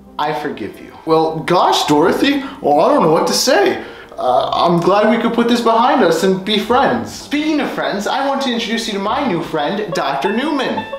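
With hardly any pauses, a man speaks at a moderate pace in a room with audible echo and light background noise. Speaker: video creator. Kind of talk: casual vlog review chat.

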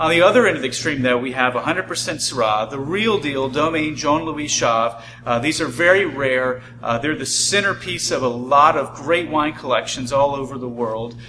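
Over light background noise, a man's pitch varies in an ordinary way as he talks at a moderate pace. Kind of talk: product presentation. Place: shop.

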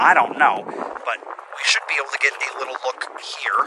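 A man talks at a moderate pace with a bright, sharp tone. Faint background noise can be heard.

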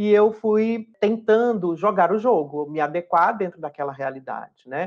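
A woman speaks at a medium pitch with lively intonation. Her pace is fairly slow against a quiet background. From Brazil, Fortaleza, Ceará. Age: 40s. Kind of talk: interview testimony. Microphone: webcam.

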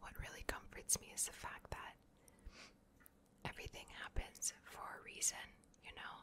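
A woman whispering in a gentle tone at a fairly slow pace. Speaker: ASMR content creator. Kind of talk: ASMR personal talk with positive affirmations to camera. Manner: soft-spoken, gentle, reassuring. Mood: warm, reassuring. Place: home room. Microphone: studio mic.

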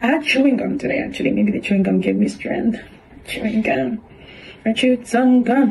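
A woman with fairly high pitch amid noticeable background noise. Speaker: vlogger. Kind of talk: casual video diary. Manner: casual, chatty.

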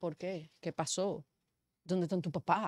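A woman speaks at a moderate pace and medium pitch, the sound dry with no echo and the background quiet. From Dominican Republic, San Pedro de Macorís. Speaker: media commentator. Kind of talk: talk show discussion. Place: studio. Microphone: studio mic.

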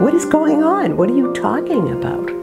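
Fairly slow speech over loud background music. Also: woman. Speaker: patient's wife. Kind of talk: interview answer. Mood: recounting a shocking event. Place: home room.

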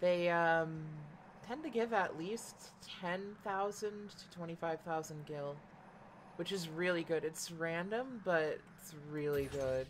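Very slow speech from a woman, fairly low in pitch, with ordinary pitch variation. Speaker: gaming streamer. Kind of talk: live gameplay commentary. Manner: casual, rambling with fillers.

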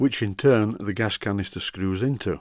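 In a very clean recording with a silent background and a dry, close sound with no echo, a man with a Yorkshire accent speaks at a moderate pace, his fairly low pitch moving with ordinary variation. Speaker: model steam engineer. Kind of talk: tutorial narration.

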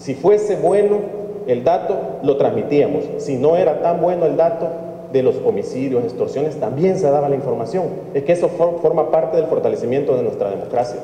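In a Salvadoran accent, a man speaks at a fairly quick pace amid audible room echo. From El Salvador. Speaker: opposition party politician. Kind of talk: press statement. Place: hall. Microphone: podium.

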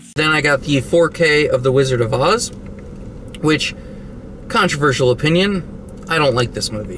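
A man speaks at a moderate speed, with light noise behind him. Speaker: vlogger reviewing purchases. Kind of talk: casual vlog chat. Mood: joking, irreverent. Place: car. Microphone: phone near.

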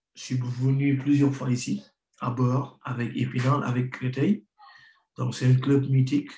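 The voice is dark and mellow, somewhat breathy, with monotone, flat intonation. It moves at a fairly slow pace amid audible room echo. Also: man, medium pitch for a man. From Senegal, Rufisque; Senegal. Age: 30s. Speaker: professional footballer; guest. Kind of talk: interview. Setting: remote video link. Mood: calm, reflective. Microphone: video call.

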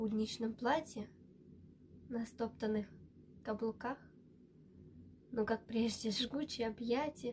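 A woman with a fairly high pitch and a dark, mellow tone speaks in a monotone, flat intonation over light background noise. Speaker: student of a city school of artistic word (recitation). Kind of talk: poetry reading. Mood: tender, quietly emotional. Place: home room. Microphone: webcam.

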